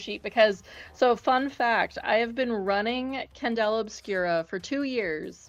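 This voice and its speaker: A fairly high-pitched woman with an American accent, fairly slow, with ordinary pitch variation and music in the background. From US South, West Virginia. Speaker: streamer, tabletop game master. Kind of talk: casual chat.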